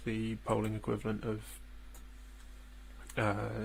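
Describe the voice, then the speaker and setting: A man with a British accent, at a fairly slow pace. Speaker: political livestreamer. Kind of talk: live election commentary. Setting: home livestream, housemates asleep. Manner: hesitant, many fillers; soft-spoken, speaking quietly. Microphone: too quiet, gain adjusted, clipping.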